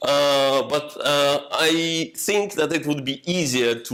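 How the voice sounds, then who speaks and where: Speaking with a non-native accent, this man's voice sits fairly high in pitch. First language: not English. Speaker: software developer, meetup speaker. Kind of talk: technical talk with discussion. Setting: meetup room with audience. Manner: halting, many fillers.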